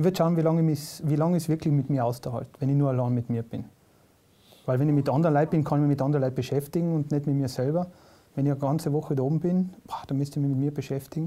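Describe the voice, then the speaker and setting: A man at a very fast pace, fairly high-pitched for a man, with a dark, mellow tone and fairly even intonation. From South Tyrol. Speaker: comedian. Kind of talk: casual interview chat.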